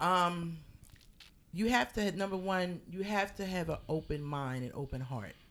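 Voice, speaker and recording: This is an unremarkable speaking voice, with lively intonation and a fairly slow pace. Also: woman, fairly low pitch for a woman. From Philadelphia. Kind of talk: casual interview.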